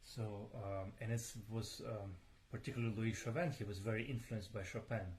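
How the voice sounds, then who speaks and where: There is audible room echo as a man speaks at a medium pitch and a fairly quick pace, somewhat breathy, with fairly even intonation. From Ukraine. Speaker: pianist. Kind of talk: live stream talk between pieces. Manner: hesitant, many fillers and repeats. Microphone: voice too quiet, moves closer to mics.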